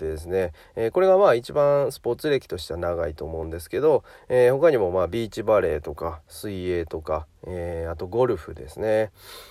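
Over a very clean recording with a silent background, a man speaks in a relaxed, dark, mellow tone at a fairly low pitch, with very wide pitch swings. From Japan, Hyogo. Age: 30s. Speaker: personal trainer. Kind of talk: podcast monologue. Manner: relaxed, many fillers.

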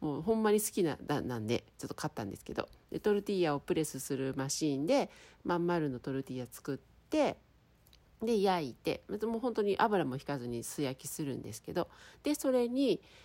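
The voice has a dark, mellow tone, very wide pitch swings and big swings in loudness. It moves at a fairly quick pace on a very clean recording with a silent background. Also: woman, fairly low pitch for a woman. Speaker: podcaster. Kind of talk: casual solo talk. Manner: clear, crisp delivery.

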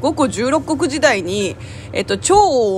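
Moderate-paced speech in a Korean accent, with music in the background. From South Korea. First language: Korean (speaking Japanese). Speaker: podcaster and voice actor. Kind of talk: casual solo talk. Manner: laughs often.

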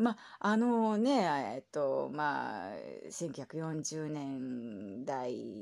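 In a very clean recording with a silent background, a woman with a very deep, low pitch swings her pitch very widely. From Japan. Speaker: podcaster. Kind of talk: solo casual talk.

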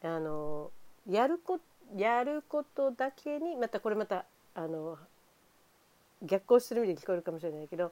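A woman of medium pitch and dark, mellow tone talks at a moderate pace with long, frequent pauses. Her pitch swings very widely, and the sound is dry and close with no echo. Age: 50s. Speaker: home care nurse. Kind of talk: casual monologue. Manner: animated.

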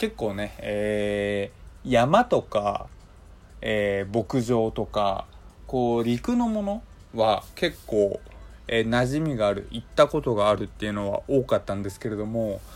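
This man's fairly slow speech plays against music in the background. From Hokkaido, Japan. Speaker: podcast host. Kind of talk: casual solo monologue.

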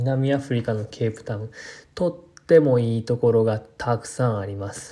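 A man speaks at a moderate pace with ordinary pitch variation, a somewhat breathy, dark, mellow tone and big swings in loudness. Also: medium pitch for a man. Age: 20s. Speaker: podcaster and landscape designer. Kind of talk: casual solo talk. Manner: halting, many fillers.

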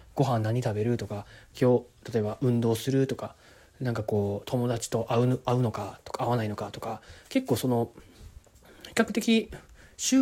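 A man's medium-pitched voice, dark and mellow in tone, at a moderate pace. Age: 20s. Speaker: podcast host. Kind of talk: solo monologue. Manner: casual, hesitant with many fillers.

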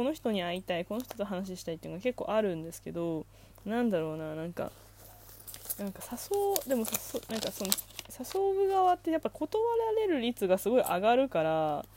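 A woman speaks at a fairly quick pace, her pitch swinging very widely. Noticeable background noise runs behind her. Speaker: solo podcaster. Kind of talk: casual monologue. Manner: fast; frequent laughter.

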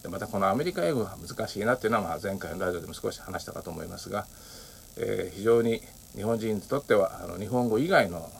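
Against noticeable background noise, a man with a fairly low pitch talks at a fairly quick pace with ordinary pitch variation. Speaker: podcaster. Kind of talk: solo monologue. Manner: many filler words.

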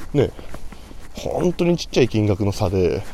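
A quiet man's voice, fairly high in pitch with very wide pitch swings, over noticeable background noise. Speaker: salesman podcaster. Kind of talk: solo casual monologue. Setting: outdoors, walking to station. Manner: somewhat quiet.

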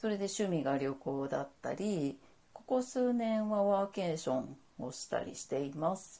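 Her dark, mellow voice moves at a moderate pace, with very wide pitch swings and big swings in loudness, as this woman speaks. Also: medium pitch for a woman. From Saitama, Japan. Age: 40s. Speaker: freelance model, podcaster. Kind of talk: solo monologue podcast. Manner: calm, composed; polite, formal.

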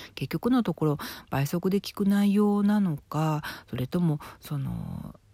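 Her tone dark and mellow, a woman speaks at a fairly low pitch and a fairly slow pace with lively intonation, on a very clean recording with a silent background. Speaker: fortune teller and writer. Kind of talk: solo talk monologue.

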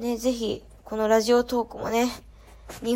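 A woman talks at a moderate pace. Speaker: podcast host, student abroad. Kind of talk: solo casual talk. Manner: chatty, with laughs.

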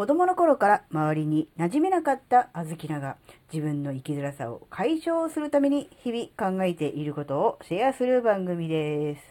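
The tone is dark and mellow, and the pitch makes very wide swings. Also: woman, medium pitch for a woman, moderate pace. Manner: rambling, filler-heavy, conversational.

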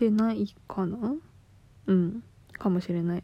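A woman's voice comes through somewhat breathy, with a dark, mellow tone. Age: 20s. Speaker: podcaster. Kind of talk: casual monologue. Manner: casual, laughing.

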